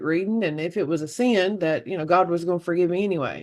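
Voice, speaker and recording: Speaking in an American accent, a woman keeps her pitch fairly low. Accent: Southern twang, downplayed at first. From US South, Oxford, Alabama. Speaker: medium. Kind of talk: interview. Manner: animated when excited.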